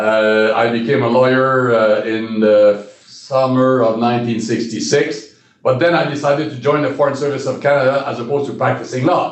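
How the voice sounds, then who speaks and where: A man speaks at a moderate pace and a medium pitch, with hardly any pauses and fairly even intonation. There is audible room echo. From Quebec, Shawinigan. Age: 70s. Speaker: retired diplomat. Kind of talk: interview. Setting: in a room with sun in his eyes. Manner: halting.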